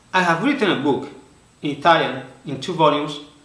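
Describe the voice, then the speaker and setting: A man with a strong Spanish accent at a fairly quick pace, lively intonation, audible room echo and noticeable background noise. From Spain. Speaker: author and conference speaker. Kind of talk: prepared presentation. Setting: recorded video for online conference.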